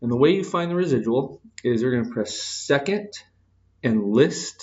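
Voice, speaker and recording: A man talks in a plain, everyday voice at a medium pitch. His pace is moderate and his intonation lively. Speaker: math teacher. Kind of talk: lecture. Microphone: echo in room.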